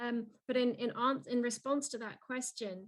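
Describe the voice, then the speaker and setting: This woman's voice has a fairly high pitch. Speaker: keynote speaker, youth mentoring program director. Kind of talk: webinar Q&A answer. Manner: fast; hesitant, many restarts.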